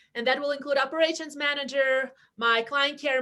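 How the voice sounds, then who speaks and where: In a non-native accent, a woman with a high pitch speaks at a moderate pace. Her voice is raised and projected, with a bright, sharp tone. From outside the US (immigrant). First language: not English. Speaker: real estate team leader. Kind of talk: webinar interview.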